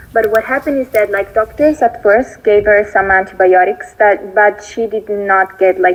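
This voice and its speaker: At a moderate pace, the voice comes through noticeable background noise. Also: woman. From Italy. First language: Italian. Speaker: viewer sharing a success story. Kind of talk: recorded voice note testimony. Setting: voice note played from laptop. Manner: halting, many fillers. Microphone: voice note played through laptop, may be quiet.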